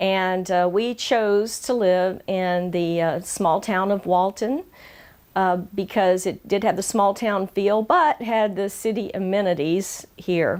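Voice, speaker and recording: Recorded very cleanly over a silent background, a woman with a Georgia accent speaks at a very slow pace and medium pitch, her intonation fairly even and her loudness very even. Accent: Southern US (Georgia), slightly toned down. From Georgia, US South. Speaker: community interviewer, channel host. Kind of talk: personal introduction monologue. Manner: frequent filler hesitations.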